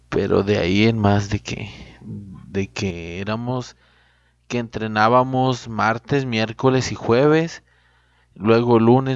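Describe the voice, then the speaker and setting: Over a quiet background, a man with a medium pitch talks at a very slow pace with fairly even intonation. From Mexico, Durango (Cuencamé). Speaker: podcast host, dog breeder. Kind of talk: casual monologue.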